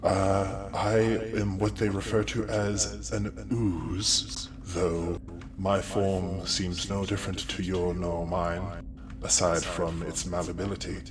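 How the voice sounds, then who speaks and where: Over loud music in the background, a man uses a put-on character voice with a very deep, low pitch at a fairly slow pace. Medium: actual play. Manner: polite, formal, courteous.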